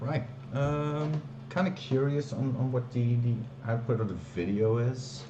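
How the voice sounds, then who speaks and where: With a non-native accent, a man speaks at a fairly slow pace, heard through audible room echo and noticeable background noise. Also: medium pitch for a man, ordinary pitch variation, very even loudness. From Belgium, Flanders. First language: Dutch. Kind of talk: live stream, casual chat. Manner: hesitant, many fillers.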